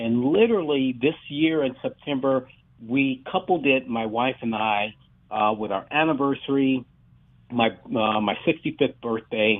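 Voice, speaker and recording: The delivery is fairly slow, with ordinary pitch variation. It is a normal speaking voice. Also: man, medium pitch for a man. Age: 60s. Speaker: track and field coach. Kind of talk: radio interview.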